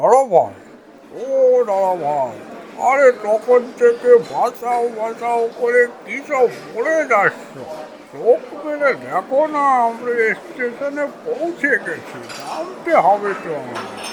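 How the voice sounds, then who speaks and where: A female-sounding, cartoonish character voice talks at a fairly slow pace with a fairly high pitch. Clear background noise is audible. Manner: casual, familiar.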